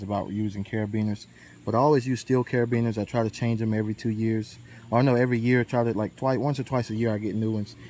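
A man talks very fast with a dark, mellow tone and a flat, monotone delivery in a dry recording with no echo. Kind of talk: tutorial. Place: forest. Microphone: phone near.

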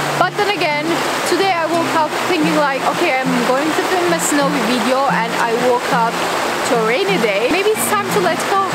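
A woman at a moderate pace, over loud background noise. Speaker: vlogger. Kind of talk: casual vlog chat. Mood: playful and expressive. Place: forest.

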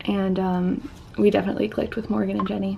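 Light background noise sits behind the speech. A woman talks at a fairly slow pace. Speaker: vlogger. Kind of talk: casual vlog chat. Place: home room. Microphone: webcam.

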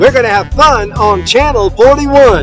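Over clear music in the background, a voice with an American accent speaks at a fairly slow pace in a dry sound with no echo. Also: man. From Eastern North Carolina. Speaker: casino entertainer. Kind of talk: TV station ID promo. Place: street. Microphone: phone near.

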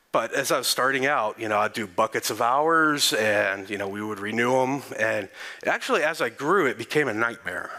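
A man talks at a moderate pace with ordinary pitch variation. He speaks in a Texan accent. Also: quiet background. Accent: Texan American English. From Texas. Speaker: conference speaker. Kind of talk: conference talk. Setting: stage with audience.

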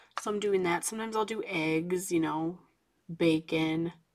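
The voice is soft-spoken. The background is quiet. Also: woman. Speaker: coloring channel host. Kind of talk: casual chat while coloring. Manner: quiet, soft-spoken. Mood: relaxed, chatty.

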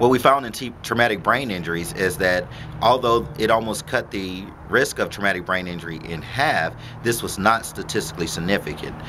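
Speaking at a fairly quick pace, a man with a fairly low pitch shows ordinary pitch variation against noticeable background noise. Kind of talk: interview answer.

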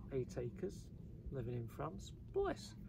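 A man at a moderate pace, dry with no echo, over noticeable background noise. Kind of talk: casual vlog chat. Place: open country.

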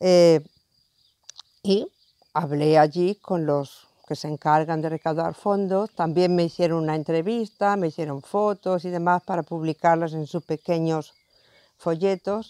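A woman speaks at a fairly slow pace with a fairly low pitch and a dark, mellow tone. Her intonation stays fairly even, and the sound is dry with no echo. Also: quiet background. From Spain. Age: 60s. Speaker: retired nurse and pilgrim. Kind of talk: interview testimony. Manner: hesitant, with fillers. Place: garden.

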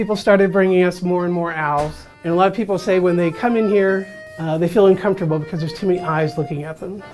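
A man with a high-pitched voice talks at a fairly quick pace with ordinary pitch variation, faint music playing in the background. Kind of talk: interview answer. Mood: relaxed, wry humor. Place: cafe. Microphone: lapel.

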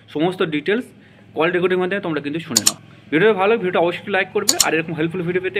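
A man's high-pitched voice with ordinary pitch variation against loud background noise. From West Bengal, Katwa area; West Bengal. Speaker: YouTube education channel host; education channel host. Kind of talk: YouTube intro and outro addressing viewers. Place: home room. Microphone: phone near.

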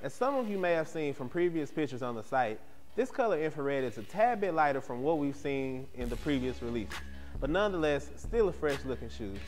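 A man's fairly quick speech over faint music in the background. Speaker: sneaker show host. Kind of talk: product review presentation. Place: studio. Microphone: lapel.

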